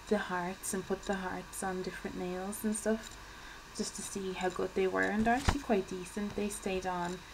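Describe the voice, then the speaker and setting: Over noticeable background noise, a woman with an Irish accent speaks at a medium pitch in a monotone, flat intonation. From Ireland. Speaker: beauty vlogger. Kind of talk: casual vlog talk. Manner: soft-spoken; fidgety, hesitant with many ums.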